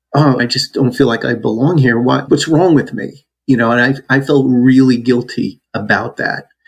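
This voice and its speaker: In an ordinary speaking voice, a man with an American accent keeps a moderate pace with hardly any pauses, a medium pitch, and fairly even intonation. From New Jersey. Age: 60s. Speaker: podcast guest sharing adoption story. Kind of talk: interview testimony.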